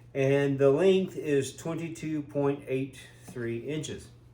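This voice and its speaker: A man with a fairly high pitch talks as noticeable background noise carries on behind him. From Tennessee Appalachia. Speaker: off-grid solar product reviewer. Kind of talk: product review vlog. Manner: casual, hesitant with fillers.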